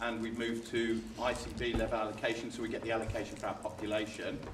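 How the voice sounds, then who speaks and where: A man speaks at a very fast pace with a medium pitch. The room echo is audible and background noise is noticeable. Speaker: NHS commissioning manager presenting to a health board. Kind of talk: board meeting presentation.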